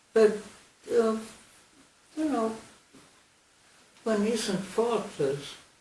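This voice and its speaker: The speech moves at a very slow pace with long, frequent pauses, over noticeable background noise. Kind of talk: interview answer.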